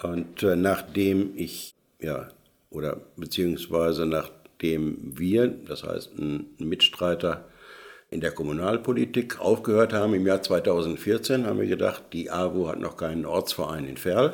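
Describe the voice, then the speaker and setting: A man speaks with vocal fry at a very deep, low pitch. The recording is very clean, with a silent background. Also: ordinary pitch variation. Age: old. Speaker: retired tradesman, volunteer. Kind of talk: casual panel chat. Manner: hesitant, many fillers.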